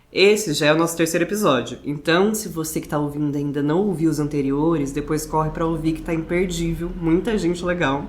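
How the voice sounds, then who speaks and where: With audible room echo, a woman talks in a fairly low voice at a fairly quick pace, hardly pausing, her intonation fairly even. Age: 20s. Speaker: podcast interviewer. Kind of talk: podcast interview introduction. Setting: living room at the guest's home.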